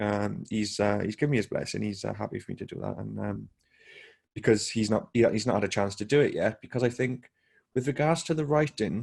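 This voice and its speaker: At a fairly quick pace, a man speaks in a normal speaking voice, fairly low in pitch, with ordinary pitch variation. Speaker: podcast host. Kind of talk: podcast conversation.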